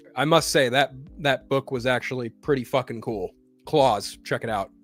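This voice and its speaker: With music in the background, a man speaks at medium pitch and ordinary pitch variation in a dry, close sound with no echo. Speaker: streamer and pop culture news host. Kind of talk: news reading with commentary. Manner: fast.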